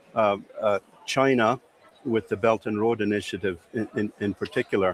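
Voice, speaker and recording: Heard with a dry, close sound and no echo, a man speaks at a moderate pace with fairly even intonation. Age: 60s. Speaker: cybersecurity expert. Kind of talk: interview. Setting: exhibition floor. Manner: halting.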